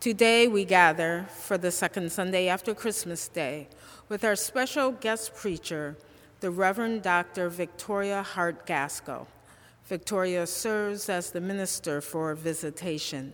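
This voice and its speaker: A woman speaks in a plain, everyday voice at medium pitch with ordinary pitch variation. Her pace is fairly slow. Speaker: associate chaplain. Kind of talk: liturgy. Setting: church.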